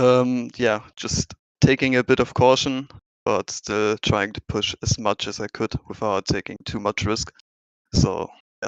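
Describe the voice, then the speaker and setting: With a German accent, a man talks at a fairly slow pace and medium pitch, his intonation fairly even and the sound dry and close with no echo. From Germany. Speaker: sim racing driver. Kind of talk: post-race interview.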